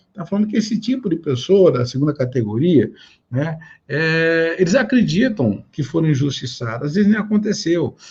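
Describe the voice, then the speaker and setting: A high-pitched man at a moderate pace, with very wide pitch swings. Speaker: pastor. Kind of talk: sermon.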